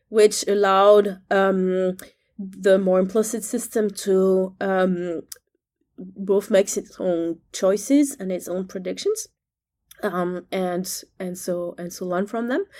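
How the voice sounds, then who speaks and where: Speaking very slowly with a French accent, a woman keeps a medium pitch and fairly even intonation on a very clean recording with a silent background. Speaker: neuroscience professor. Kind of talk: interview conversation. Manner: hesitant, many fillers.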